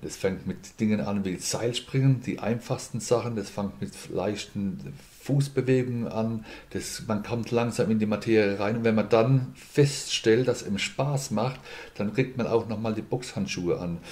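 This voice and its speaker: A man's unremarkable speaking voice, medium in pitch, with ordinary pitch variation and a fairly slow pace. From Mannheim, Germany. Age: 50s. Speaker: boxing school owner and insurance broker. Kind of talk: podcast interview.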